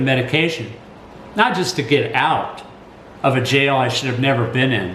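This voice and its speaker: A man with a Texan accent speaks at a moderate pace and a fairly high pitch, with audible room echo and noticeable background noise. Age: 60s. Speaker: college teacher and commentator. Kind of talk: personal commentary. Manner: halting.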